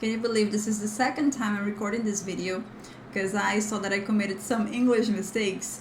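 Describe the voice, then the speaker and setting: A woman speaks with a Brazilian accent at a medium pitch. Noticeable background noise and audible room echo fill the recording. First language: Portuguese. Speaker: language teacher. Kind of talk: tutorial. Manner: casual, chatty.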